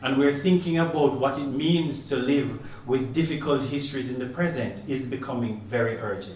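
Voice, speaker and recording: Through noticeable background noise and audible room echo, a man with a fairly high pitch speaks with ordinary pitch variation. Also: moderate pace. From Caribbean, Jamaica. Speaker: professor. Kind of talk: opening speech. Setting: exhibition opening. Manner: formal.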